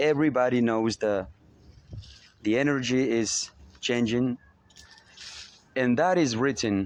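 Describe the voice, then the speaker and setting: A man's medium-pitched voice with a slight Spanish accent, very even loudness and long, frequent pauses. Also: ordinary pitch variation, fairly slow pace. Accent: slight Spanish accent, rusty English. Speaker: spiritual motivational speaker. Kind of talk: spiritual monologue. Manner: hesitant, many fillers.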